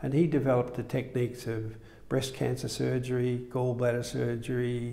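In an Australian accent, a man talks with a dark, mellow tone and monotone, flat intonation. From Melbourne, Australia. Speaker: surgeon. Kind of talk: interview. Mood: calm reminiscing. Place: studio. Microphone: lapel.

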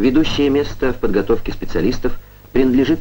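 A man talks at a fairly quick pace in a solemn tone. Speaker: film narrator. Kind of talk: scripted documentary narration. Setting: vintage film voice-over. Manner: formal, measured, declamatory Soviet-era newsreel delivery; steady, even-paced and solemn, with proud official tone.

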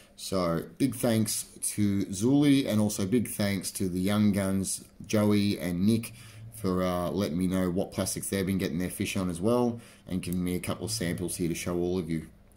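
A man speaks at a moderate pace in a low voice with a dark, mellow tone. His pitch variation is ordinary.

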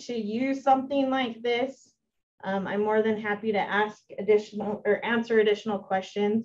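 A woman with an American accent speaks at a moderate pace in a plain, everyday voice, her fairly high pitch carried on fairly even intonation. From Utah, Millard County. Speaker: extension educator. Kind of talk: presentation.

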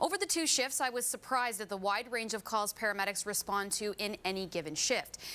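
A woman's bright, sharp tone at a fairly quick pace. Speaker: news reporter. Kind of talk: news report. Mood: enthusiastic. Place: studio. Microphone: lapel.

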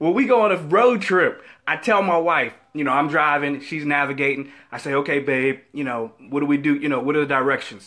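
A man's voice at a moderate pace, with lively intonation. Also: quiet background. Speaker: faith vlogger. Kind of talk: casual vlog chat, inspirational talk. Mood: humorous, upbeat. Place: office. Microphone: headset.

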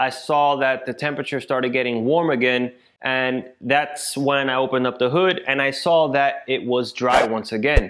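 A man at a moderate pace with fairly even intonation, over a quiet background. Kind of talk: casual vlog chat. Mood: frustrated storytelling. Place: garage.

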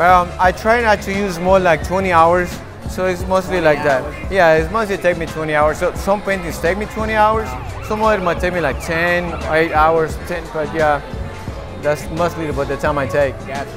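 Clear music in the background behind a man's high voice, moderate in pace, with ordinary pitch variation. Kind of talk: interview answer. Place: hall.

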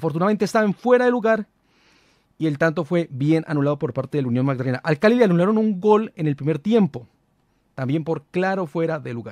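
Very fast, lively speech with a dry sound, no echo and a quiet background. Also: man, fairly high pitch for a man. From Colombia. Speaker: football commentator, fan channel host; football commentator youtuber. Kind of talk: casual match analysis monologue. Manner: hesitant, many fillers. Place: studio. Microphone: studio mic.

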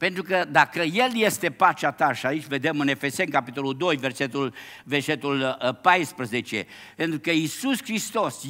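Over a quiet background, a man talks in a bright, sharp tone with very wide pitch swings. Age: 70s. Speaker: pastor. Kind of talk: sermon. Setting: church. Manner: animated. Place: church.

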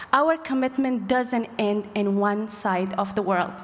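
At a very slow pace, a woman speaks in a fairly high pitch with ordinary variation. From Afghanistan. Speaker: human rights advocate. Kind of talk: speech at gala event. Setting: stage with audience. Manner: emotional, heartfelt. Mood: emotional, heartfelt. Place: hall. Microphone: podium.

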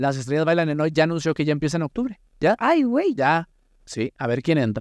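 A man talks at a fairly quick pace with lively intonation and an animated tone. The sound is dry with no echo over a quiet background. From Mexico. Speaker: podcast host. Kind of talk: casual chat. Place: studio. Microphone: studio mic.

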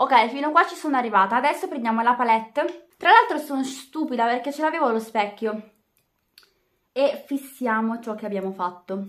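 Against a quiet background, a woman with a high voice talks at a moderate pace, her intonation lively and her loudness swinging widely. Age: just turned 18 (high school final year). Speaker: beauty vlogger. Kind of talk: makeup tutorial vlog. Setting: at home in bedroom. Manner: casual, chatty. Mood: relaxed, cheerful. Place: home room. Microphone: webcam.

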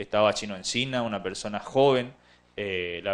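Ordinary pitch variation from a man talking at a moderate pace. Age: 30s. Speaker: local councillor; town councillor. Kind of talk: TV interview. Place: studio. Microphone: handheld.

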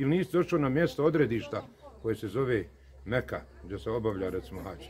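Light background noise sits under the voice. The pace is very fast. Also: man. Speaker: speaker. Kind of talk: religious talk to camera. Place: street. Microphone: phone near.

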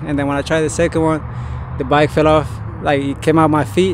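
A fairly high-pitched man with a Spanish accent, monotone, flat intonation and noticeable background noise. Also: dry sound with no echo. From Colombia. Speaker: BMX rider. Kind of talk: casual interview. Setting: outdoors at bike park. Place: street. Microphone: handheld.

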